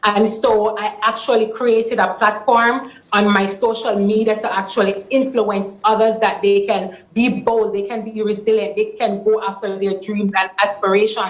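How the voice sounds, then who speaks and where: With a Jamaican accent and a fairly high pitch, a woman talks at a moderate pace in a monotone, flat intonation with hardly any pauses over noticeable background noise. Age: 20s. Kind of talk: TV interview answer.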